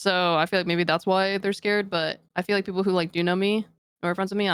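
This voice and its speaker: A woman speaks with monotone, flat intonation. The sound is dry and close, with no echo. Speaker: esports pro player. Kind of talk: podcast interview. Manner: casual, filler-heavy.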